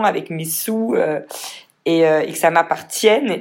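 A woman is speaking. Her voice is fairly low, with ordinary pitch variation. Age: 30s. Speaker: entrepreneur. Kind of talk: casual chat.

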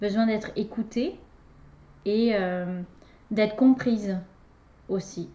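Speaking very slowly, a woman has a fairly high, somewhat breathy voice and fairly even intonation. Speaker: relationship coach and podcast host. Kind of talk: casual conversation with her husband. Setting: recording alongside guest.

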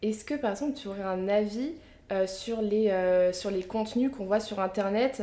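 Here is a woman with an unremarkable speaking voice and medium pitch. She talks at a fairly slow pace with fairly even intonation. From Picardie, northern France. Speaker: podcast host and media founder. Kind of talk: interview.

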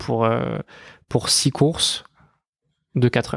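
The man's voice sits at a medium pitch. His recording is very clean, with a silent background. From western France, Les Sables d'Olonne. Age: 20s. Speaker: racing driver. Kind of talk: interview.

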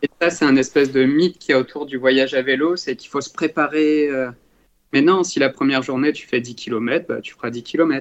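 In a plain, everyday voice, a man speaks at a moderate pace and a fairly high pitch, his intonation fairly even but his loudness swinging widely. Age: 20s. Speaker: cycling traveller. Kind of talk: podcast interview.

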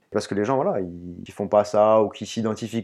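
A man speaks at a moderate pace. His voice sits fairly low. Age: 30s. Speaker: trail runner and urban planner. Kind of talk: interview. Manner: halting.

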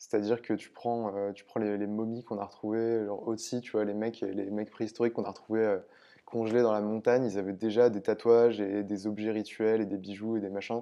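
Monotone, flat intonation at a fairly quick pace. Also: man. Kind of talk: interview. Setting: workshop.

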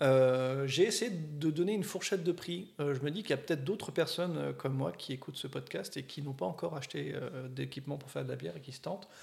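A man talking at a very fast pace, somewhat breathy, with lively intonation. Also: fairly high pitch for a man. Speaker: beer podcast co-host. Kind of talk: casual chat.

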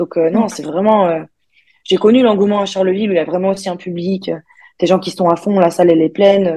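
A woman's somewhat breathy voice with a dark, mellow tone at a fairly quick pace. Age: 20s. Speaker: professional basketball player. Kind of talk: casual interview. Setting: video call. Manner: halting.

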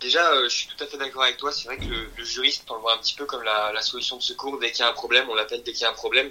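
A man talks at a very fast pace. Noticeable background noise runs under his speech. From France. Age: 20s. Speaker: law student and sports law media founder. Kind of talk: interview. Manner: hesitant, many fillers and repetitions.

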